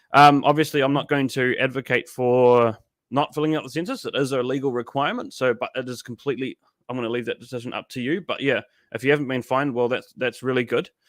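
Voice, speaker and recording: Very fast and fairly even in intonation, a man with a New Zealand accent speaks at a medium pitch, with a dry, close sound with no echo and a quiet background. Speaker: political livestream host. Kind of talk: live stream commentary with chat reading.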